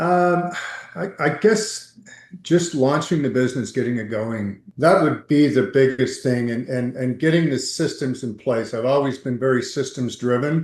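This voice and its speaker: Speaking at a moderate pace, the man uses a medium pitch with ordinary pitch variation. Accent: slight Canadian. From Canada. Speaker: real estate agent. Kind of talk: interview. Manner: halting.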